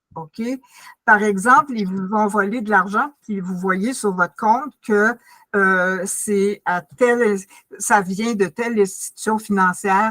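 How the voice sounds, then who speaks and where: Very slowly and with big swings in loudness, a woman speaks in a bright, sharp tone at medium pitch with fairly even intonation, on a very clean recording with a silent background and dry, close sound with no echo. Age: 80s+. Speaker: community workshop presenter. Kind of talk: informal presentation. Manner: halting.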